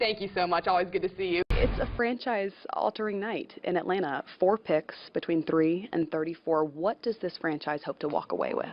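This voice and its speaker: Moderately paced, a woman talks in a normal speaking voice at medium pitch with ordinary pitch variation. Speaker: sports interviewer. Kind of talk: sports TV interview and hosting.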